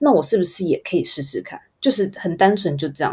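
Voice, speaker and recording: A woman speaks at a very fast pace in a Taiwanese accent. Her voice is somewhat breathy, with a dark, mellow tone. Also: very clean recording, silent background. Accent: Taiwanese Mandarin. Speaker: advertising photographer. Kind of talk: interview.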